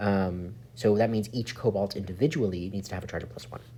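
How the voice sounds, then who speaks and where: His voice is somewhat breathy. The man's pitch sits fairly low. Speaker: chemistry teacher. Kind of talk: tutorial.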